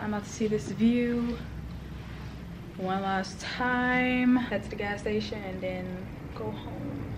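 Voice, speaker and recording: A woman with a fairly high pitch speaks at a fairly slow pace. Audible room echo and noticeable background noise surround her voice. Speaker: vlogger. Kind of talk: casual vlog.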